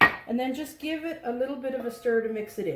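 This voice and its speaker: Noticeable background noise runs under the clip. A woman speaks at a fairly quick pace. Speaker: home baking instructor. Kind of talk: cooking tutorial. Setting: home kitchen. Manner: casual, chatty.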